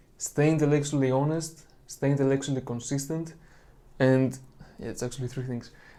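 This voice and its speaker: A man with a dark, mellow tone speaks at a fairly high pitch in a monotone, flat intonation, with audible room echo. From Greece. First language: Greek. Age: 20s. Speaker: religious video creator. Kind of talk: monologue lecture on apologetics.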